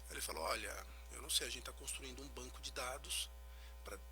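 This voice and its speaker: Soft-spoken, a man talks with music in the background and audible echo in the room. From Brazil, Recife. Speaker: physical trainer and genetics consultant. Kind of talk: radio interview. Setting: radio studio.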